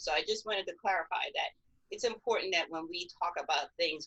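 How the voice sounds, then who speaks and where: A woman speaks at a moderate pace in an unremarkable speaking voice. Her intonation is lively. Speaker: film critic. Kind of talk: panel discussion.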